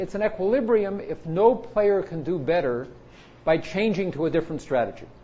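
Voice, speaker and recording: Room echo can be heard as a man speaks at a high pitch. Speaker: computer science professor. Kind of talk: lecture. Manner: fast.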